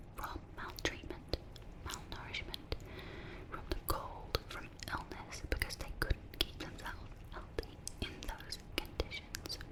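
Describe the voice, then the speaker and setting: A woman whispers at a very slow pace. Noticeable background noise can be heard behind her. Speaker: ASMR creator. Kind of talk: ASMR storytelling. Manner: whispered.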